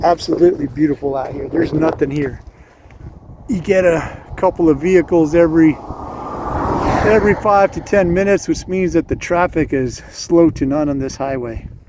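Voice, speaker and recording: A man speaks at a moderate pace with a fairly high pitch and ordinary pitch variation. Noticeable background noise runs underneath. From New Mexico. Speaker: motorcycle vlogger, army veteran. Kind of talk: casual vlog monologue. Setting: outdoors on a motorcycle by a highway. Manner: hesitant, many filler uhs.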